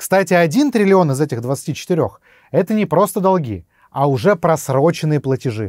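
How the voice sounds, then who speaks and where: A man speaks at a fairly high pitch with very wide pitch swings. The sound is dry with no echo, against a quiet background. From Russia. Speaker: YouTube blogger on economics; political video blogger. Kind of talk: scripted narration. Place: studio.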